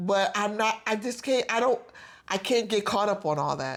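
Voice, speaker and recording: A woman speaks in an ordinary speaking voice at a medium pitch. Her pace is moderate. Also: very clean recording, silent background. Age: 50s. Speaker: podcast co-host. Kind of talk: casual chat.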